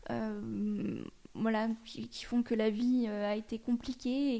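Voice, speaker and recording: A woman's dark, mellow voice, fairly high in pitch, at a very slow pace with monotone, flat intonation. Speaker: radio presenter. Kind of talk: casual interview. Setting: radio studio.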